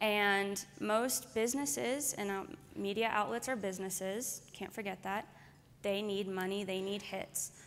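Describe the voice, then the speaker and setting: This is an unremarkable speaking voice at a fairly slow pace. Light background noise can be heard. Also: woman, medium pitch for a woman, ordinary pitch variation. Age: 20s. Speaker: activist journalist. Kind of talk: conference speech.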